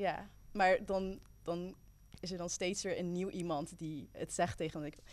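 Vocal fry from a woman speaking fairly slowly with fairly even intonation. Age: 20s. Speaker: youth worker and student. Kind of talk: casual chat.

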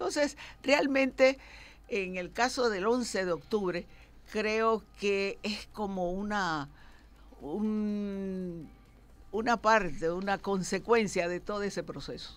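Very slowly, a woman speaks at medium pitch with ordinary pitch variation. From Panama. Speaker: lawyer. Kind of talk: radio interview.

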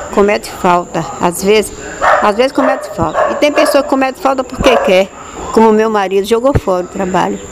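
Through noticeable background noise, a woman talks at a moderate pace with a high pitch and lively intonation. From Bahia, Brazil (Ipirá). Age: 80s+. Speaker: retired radio station employee. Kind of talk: oral history interview. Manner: halting, repetitive.

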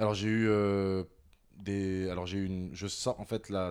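On a very clean recording with a silent background, a man speaks at a moderate pace in a very deep, low, monotone voice. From France. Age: 30s. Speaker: creative agency director. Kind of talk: personal testimony interview.

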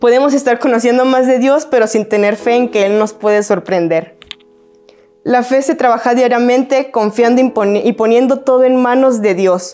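At a moderate pace and very even loudness, a woman speaks in a high pitch with ordinary pitch variation against noticeable background noise. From Mexico, Guadalajara. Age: 20s. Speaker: youth preacher, church staff. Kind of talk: sermon. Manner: casual, conversational.

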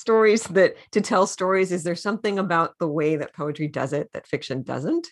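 A woman uses an ordinary speaking voice at a fairly low pitch, her lively intonation moving at a moderate pace over a quiet background. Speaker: radio host. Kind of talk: radio interview.

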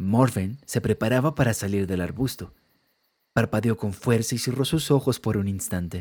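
Recorded very cleanly against a silent background, a man speaks at a moderate pace and medium pitch with ordinary pitch variation. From Colombia. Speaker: music producer and podcaster. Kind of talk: storytelling narration. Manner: altered narration voice.

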